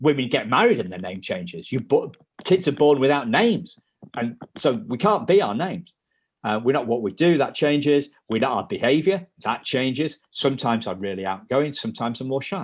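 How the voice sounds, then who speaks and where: At a fairly quick pace, a man talks with very wide pitch swings. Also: medium pitch for a man. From UK. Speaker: life coach for adult adoptees. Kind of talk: podcast interview. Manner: halting, repetitive.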